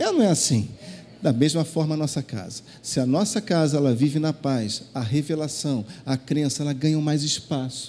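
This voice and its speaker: A man's dark, mellow tone at a fairly high pitch, with ordinary pitch variation and a moderate pace. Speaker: pastor. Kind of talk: sermon. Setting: church.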